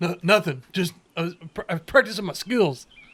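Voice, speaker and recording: Using a put-on character voice, a man sounds gruff and high-pitched, talking at a fairly quick pace with lively intonation and big swings in loudness. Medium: actual play. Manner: gruff, blunt, calls others brother.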